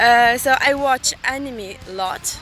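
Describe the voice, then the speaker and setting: Over music in the background, a woman with a high pitch uses a raised, projected voice with ordinary pitch variation. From Tunisia. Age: 20s. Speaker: student. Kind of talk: self-introduction video. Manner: halting.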